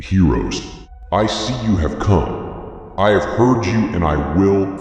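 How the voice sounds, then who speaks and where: Using a put-on character voice, a man talks at a fairly slow pace and a fairly low pitch. Strong echo fills the recording. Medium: audio drama. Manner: grandiose, menacing.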